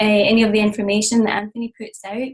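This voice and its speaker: A woman's somewhat breathy, fairly high voice in a Scottish accent. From Scotland. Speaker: interview host. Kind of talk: interview host introduction.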